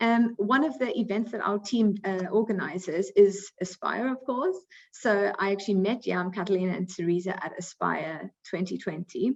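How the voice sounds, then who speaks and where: Ordinary pitch variation, a South African accent and a moderate pace. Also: woman. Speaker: recruiting coordinator, webinar moderator. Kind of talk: webinar moderation.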